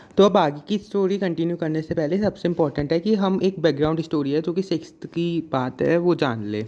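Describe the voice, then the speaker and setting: A high-pitched man's voice with a dark, mellow tone and hardly any pauses. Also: ordinary pitch variation, moderate pace. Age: young. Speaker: YouTube storyteller. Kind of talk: casual storytime to camera. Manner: casual, chatty.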